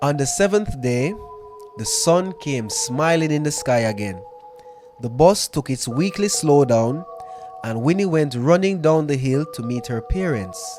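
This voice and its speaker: Music plays in the background while a man speaks at a fairly slow pace. His fairly high voice makes very wide pitch swings. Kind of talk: storytelling podcast, ghost story reading.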